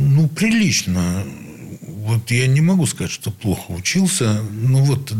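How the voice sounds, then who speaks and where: A man speaks at a very slow pace in a somewhat breathy voice of medium pitch. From Leningrad, Russia. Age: old. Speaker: saxophonist. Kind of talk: interview reminiscence.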